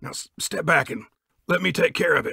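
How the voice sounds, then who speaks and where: A man uses a put-on character voice that is raspy, talking at a fairly quick pace. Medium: read story.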